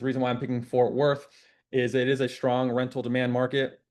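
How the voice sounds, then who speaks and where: At a fairly quick pace, a man speaks in a medium pitch. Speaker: real estate investor teaching deal sourcing. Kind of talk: screen-share tutorial. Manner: stutters at times; casual, filler-heavy.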